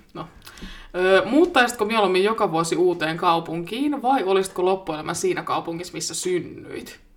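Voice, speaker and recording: A woman speaks at medium pitch and a moderate pace. It is an unremarkable speaking voice, with ordinary pitch variation. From Finland, Vantaa area. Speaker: podcast co-host. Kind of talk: casual chat. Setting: home studio.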